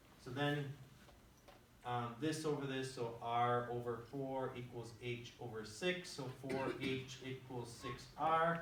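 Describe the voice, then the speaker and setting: Amid noticeable background noise and audible room echo, a man speaks at a very slow pace with fairly even intonation. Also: medium pitch for a man. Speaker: high school math teacher. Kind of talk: classroom lecture.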